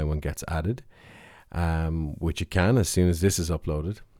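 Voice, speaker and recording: Fairly quick and dark, mellow in tone, this voice carries an Irish accent on a very clean recording with a silent background. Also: man. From Ireland. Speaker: podcast host. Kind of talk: casual monologue. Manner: hesitant, with fillers.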